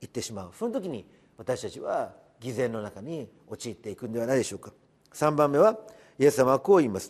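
Man at a fairly quick pace, medium pitch for a man, with very wide pitch swings and big swings in loudness. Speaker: pastor. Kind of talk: devotional sermon.

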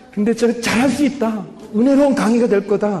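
Over noticeable background noise, a man speaks quietly at a fairly quick pace. His tone is animated. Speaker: pastor. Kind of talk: sermon. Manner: starts quiet, gets louder as excited; animated, humorous, self-deprecating.

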